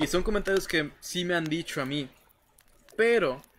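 At a moderate pace, a man speaks with ordinary pitch variation in a very clean recording with a silent background. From Mexico, Reynosa, Tamaulipas. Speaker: gaming streamer. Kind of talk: casual livestream chat, horror story reading aloud.

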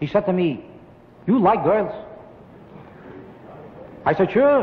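Lively intonation marks this man's high voice in an American accent. He speaks at a moderate pace over light background noise. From United States. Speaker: stand-up comedian. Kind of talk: stand-up comedy routine. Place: studio. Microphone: old recording.

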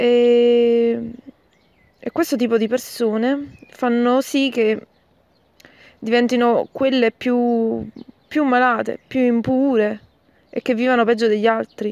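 Speaking very slowly with long, frequent pauses, a woman keeps a high pitch and a monotone, flat intonation. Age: 20s. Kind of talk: recorded voice message. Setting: recorded audio message sent by email.

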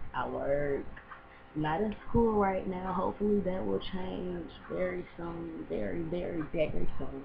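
The woman's speech is fairly slow. The room echo is audible, and background noise is noticeable. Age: 20s. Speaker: vlogger. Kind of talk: casual vlog. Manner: casual, laid-back.

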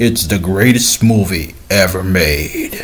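A man uses a put-on character voice with a very deep, low pitch at a fairly slow pace. Background noise is clearly heard. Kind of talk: casual vlog chat. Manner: gushing, announcer-like.

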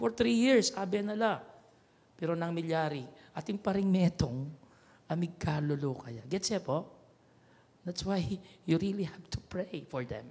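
A high-pitched man's voice at a fairly slow pace, broken by long, frequent pauses. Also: lively intonation. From Pampanga, Philippines. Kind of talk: homily. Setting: chapel radio broadcast. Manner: preaching, earnest, conversational, with repeated 'ne?' tag questions; switches between Kapampangan, Tagalog and English. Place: church. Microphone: handheld.

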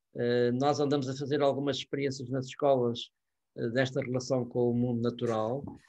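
Against a quiet background, a man speaks with a dark, mellow tone and monotone, flat intonation. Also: moderate pace. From Portugal. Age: 70s. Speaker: professor; university professor, speaker. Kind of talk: lecture. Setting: video call. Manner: hesitant with frequent fillers. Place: home room. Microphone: webcam.

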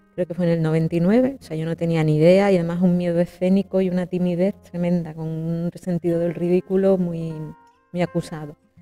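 Monotone, flat intonation runs at a fairly quick pace, with faint music in the background. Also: woman, fairly low pitch for a woman. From Jerez de la Frontera, Andalusia, Spain. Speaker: opera singer, soprano. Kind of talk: interview answer. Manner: conversational, hesitant. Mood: reflective, emotional. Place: home room. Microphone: lapel.

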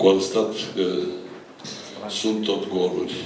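A man speaks in a fairly low, monotone voice with flat intonation and a very slow pace. Audible room echo and light background noise surround him. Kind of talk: public speech at town event. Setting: hall with microphone and audience. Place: meeting room. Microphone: handheld.

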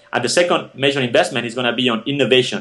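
Speaking very fast with ordinary pitch variation, a man talks in a Spanish accent. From Spain (Barcelona). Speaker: tech startup founder and CEO. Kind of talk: interview. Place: home room. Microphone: video call.

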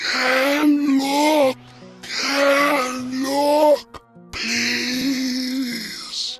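A man uses a put-on character voice with an extremely high pitch, a slightly husky edge, and little pitch movement. He speaks at a very slow pace over faint background music.

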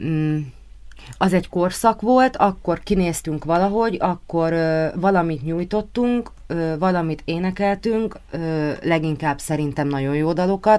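A woman's fairly low, dark and mellow voice with ordinary pitch variation at a fairly slow pace. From Hungary, Martonvásár; Hungary. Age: 30s. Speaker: pop singer; guest. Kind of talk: radio interview. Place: studio.

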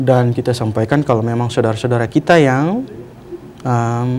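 Light background noise sits under a man's speech. He goes at a fairly quick pace with ordinary pitch variation. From Maluku Tenggara, Indonesia. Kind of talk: TV religious guidance talk, interview answers. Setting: TV studio. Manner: formal, hesitant with fillers. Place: studio.

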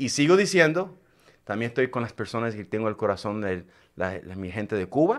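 With lively intonation and a fairly quick pace, a man talks over a quiet background. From Puerto Rico. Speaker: radio show host. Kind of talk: live talk show, Spanish-English mix; radio show host intro and greetings. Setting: live stream. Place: studio. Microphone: studio mic.

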